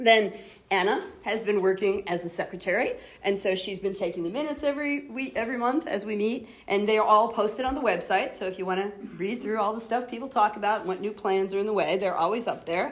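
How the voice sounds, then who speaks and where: Noticeable background noise sits behind a woman speaking very fast at a medium pitch with ordinary pitch variation. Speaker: academic society chair. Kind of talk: meeting address.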